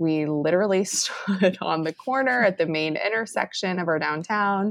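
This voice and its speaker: A woman speaks at a fairly slow pace in a normal speaking voice. Her pitch varies in an ordinary way. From Texas, Round Rock near Austin. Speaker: city communications and marketing specialist. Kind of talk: casual chat.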